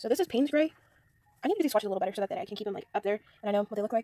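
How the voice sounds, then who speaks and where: Against a quiet background, a woman's fairly high voice sounds dry, with no echo. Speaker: hobby artist. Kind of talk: casual talk to camera, product review. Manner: quiet, a little unenthusiastic. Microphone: phone near.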